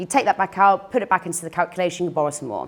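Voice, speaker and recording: The woman here speaks very fast. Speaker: finance broker. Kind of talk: presentation.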